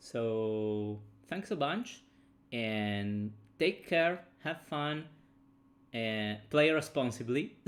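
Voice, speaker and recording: A man talks at a very slow pace. His speech is broken by long, frequent pauses. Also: lively intonation. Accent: Italian. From Italy. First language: Italian. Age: 30s. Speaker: game designer streamer. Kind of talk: casual livestream chat. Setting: livestream from home. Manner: halting with repetitions.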